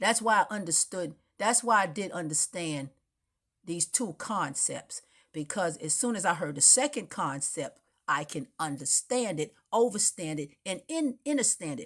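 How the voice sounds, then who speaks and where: In an animated tone, a woman at a medium pitch makes very wide pitch swings at a moderate pace, in a very clean recording with a silent background. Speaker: spiritual vlogger. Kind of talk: impassioned monologue.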